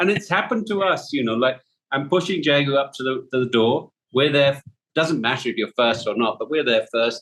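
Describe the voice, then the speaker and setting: Lively intonation carries speech at a fairly quick pace. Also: man, fairly high pitch for a man. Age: 60s. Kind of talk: casual chat. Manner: animated.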